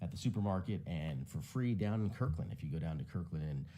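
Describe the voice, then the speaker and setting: A man's dark, mellow voice at a fairly quick pace, with ordinary pitch variation and audible room echo. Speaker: tech commentator. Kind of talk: casual commentary. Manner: fast.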